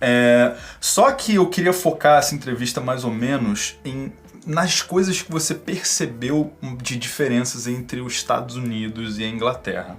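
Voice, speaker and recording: A man speaks at a fairly slow pace and medium pitch, with lively intonation and big swings in loudness. Music plays in the background. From Brazil. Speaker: YouTuber interviewer. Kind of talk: video introduction; interview.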